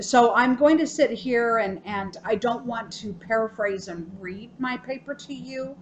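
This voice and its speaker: With an American accent, a woman speaks at a fairly slow pace and a fairly high pitch, with ordinary pitch variation and hardly any pauses. Her loudness swings widely over noticeable background noise. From US South. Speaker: student. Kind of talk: self-recorded speech critique. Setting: hospital room. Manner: frequent um fillers.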